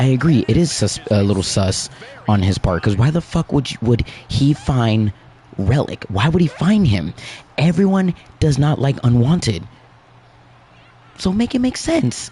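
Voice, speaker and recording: A man's medium-pitched voice at a moderate pace, with very wide pitch swings, very even loudness and long, frequent pauses, over noticeable background noise. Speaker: gaming livestream host. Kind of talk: casual livestream commentary.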